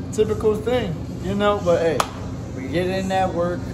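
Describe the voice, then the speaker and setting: Loud background noise fills the clip. A man speaks through it at a moderate pace. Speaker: fitness vlogger. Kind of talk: casual vlog chat. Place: gym. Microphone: phone near.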